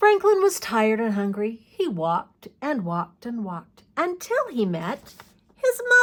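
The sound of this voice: The speaker reads in an unforced voice.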